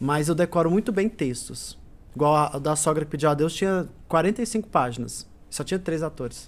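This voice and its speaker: Recorded very cleanly against a silent background, a man talks at a fairly quick pace with a fairly high pitch and ordinary pitch variation. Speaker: singer and stage actor. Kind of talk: interview chat. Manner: loud; talkative.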